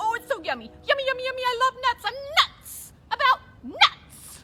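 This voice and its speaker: A woman performs a cartoonish character voice at an extremely high pitch. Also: moderate pace. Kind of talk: children's puppet show. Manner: fast, excitable.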